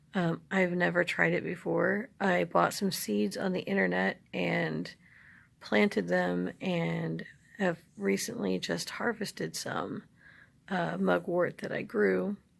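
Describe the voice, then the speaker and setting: A quiet woman at a very slow pace. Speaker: herbalist vlogger. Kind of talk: casual vlog. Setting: at home, others asleep. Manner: hushed, low voice; halting with fillers.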